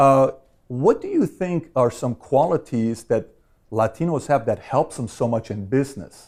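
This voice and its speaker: A man's unremarkable speaking voice, medium in pitch, at a moderate pace with ordinary pitch variation, on a very clean recording with a silent background. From Iran, then Glendale, California from age 12. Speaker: insurance company founder, interviewer. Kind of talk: interview.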